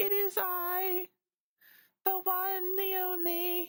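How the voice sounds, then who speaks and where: Delivered at a very slow pace, this put-on character voice sits at an extremely high pitch with monotone, flat intonation. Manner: dramatic, pompous.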